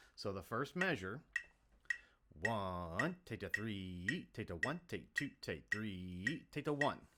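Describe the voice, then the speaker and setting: A man with a fairly low pitch, a bright, sharp tone and very wide pitch swings. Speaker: band teacher. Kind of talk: tutorial. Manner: fast.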